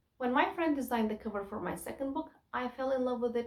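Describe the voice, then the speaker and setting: Fairly quick pace with a Kurdish accent and ordinary pitch variation. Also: woman. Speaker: self-published poet and YouTuber. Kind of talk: tutorial.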